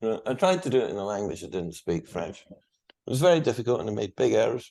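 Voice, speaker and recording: A man with a Scottish accent, medium-pitched, dark and mellow in tone, talking at a very fast clip with very wide pitch swings. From Scotland. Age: 60s. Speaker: guest, Second World War speaker. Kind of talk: interview.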